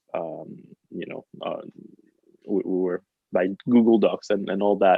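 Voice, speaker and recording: A man with a French accent talks with big swings in loudness. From France. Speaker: pianist. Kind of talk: casual chat. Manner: halting.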